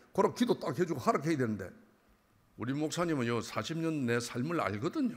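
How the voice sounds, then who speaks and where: This man's voice is fairly high and swings very widely in pitch. He talks at a fairly quick pace. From Busan, South Korea. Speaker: church elder giving testimony. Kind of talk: testimony. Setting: church. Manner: animated.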